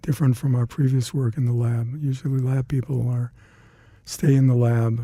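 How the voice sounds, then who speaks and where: This man's voice sits at a medium pitch, with a dark, mellow tone. He sounds somewhat breathy and talks at a moderate pace. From Detroit, Michigan. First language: Hungarian. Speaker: retired CDC laboratory scientist. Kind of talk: oral history interview. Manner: halting.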